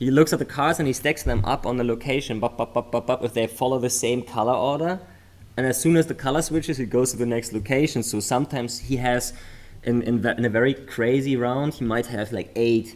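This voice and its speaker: Spoken at a fairly quick pace with a German accent, the voice keeps a fairly even intonation. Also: man, medium pitch for a man. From Germany. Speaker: memory sports commentator. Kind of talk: live commentary.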